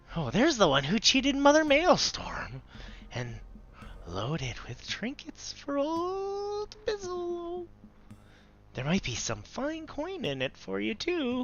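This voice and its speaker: The voice is a put-on character voice pitched high. It moves at a fairly slow pace. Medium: game stream.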